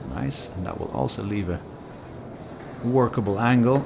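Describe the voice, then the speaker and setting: A man talks with a non-native accent. Noticeable background noise and audible room echo surround his voice. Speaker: pool commentator. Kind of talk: live commentary.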